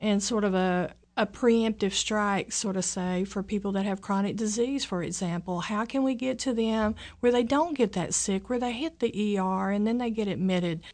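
Over a quiet background, a woman talks in a normal speaking voice. Her pace is moderate and her pitch variation ordinary. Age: 50s. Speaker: nurse and program director. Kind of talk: radio interview. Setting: studio.

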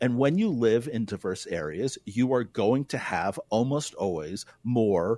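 With an American accent, a man talks at a moderate pace in a normal speaking voice with lively intonation, on a very clean recording with a silent background. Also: dry, close sound with no echo. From US Northeast, New York City. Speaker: philosophy professor. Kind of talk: radio interview.

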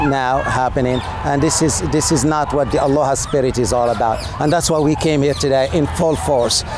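Over noticeable background noise and audible room echo, a man with a fairly high pitch talks at a moderate pace, his intonation fairly even and his loudness very even. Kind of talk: interview at a protest. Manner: impassioned.

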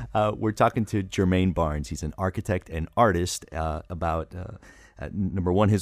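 On a very clean recording with a silent background, a man with a very deep, low pitch talks at a moderate pace with ordinary pitch variation in a dry, close sound with no echo. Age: 40s. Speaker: radio host. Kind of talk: radio interview. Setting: radio studio.

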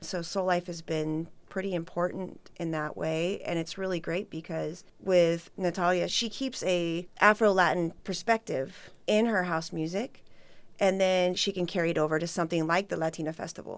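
A woman with an American accent has an ordinary speaking voice, a fairly low pitch and fairly even intonation. She talks at a moderate pace with hardly any pauses on a very clean recording with a silent background. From Redlands, California. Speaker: event organizer and DJ. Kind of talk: radio interview.

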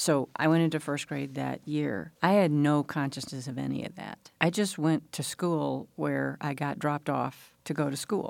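A woman speaks in a Southern US accent at a moderate pace. There are hardly any pauses, and the recording is very clean with a silent background. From US South, Mississippi Delta (Leland). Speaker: interviewee recalling school desegregation. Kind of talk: radio interview.

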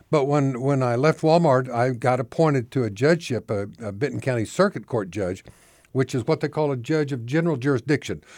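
Recorded very cleanly over a silent background, a plain, everyday voice moves at a fairly quick pace with ordinary pitch variation. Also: man, medium pitch for a man. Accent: American. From Oklahoma. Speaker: retired judge and reform activist. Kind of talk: interview.

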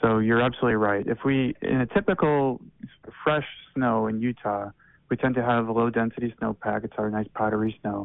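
With an ordinary speaking voice, a man talks at a fairly quick pace and medium pitch with fairly even intonation. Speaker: snow survey hydrologist. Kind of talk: informative interview.

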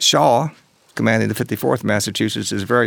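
A man with an American accent and a fairly low pitch talks at a fairly quick pace with vocal fry and fairly even intonation. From Tennessee, US South. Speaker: author and historian. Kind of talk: interview. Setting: studio.

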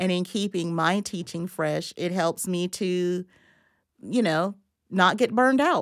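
A woman with an American accent and an unremarkable speaking voice, medium in pitch with ordinary pitch variation, at a fairly slow pace in a very clean recording over a silent background. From Florida, US South (Madison County). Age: 50s. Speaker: history professor. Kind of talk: interview. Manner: many fillers (uh, um) and repetitions.

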